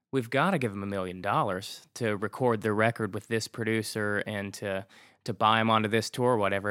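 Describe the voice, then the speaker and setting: In a very clean recording with a silent background and a dry, close sound with no echo, a man with an American accent speaks in an unremarkable speaking voice, fairly low in pitch, at a fairly quick pace with fairly even intonation. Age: 30s. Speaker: rock band singer. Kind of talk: casual interview chat.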